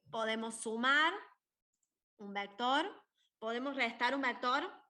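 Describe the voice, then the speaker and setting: Through audible room echo, a woman with a bright, sharp tone speaks at a high pitch and a very slow pace, using ordinary pitch variation. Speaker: university maths tutor. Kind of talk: lecture. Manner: animated.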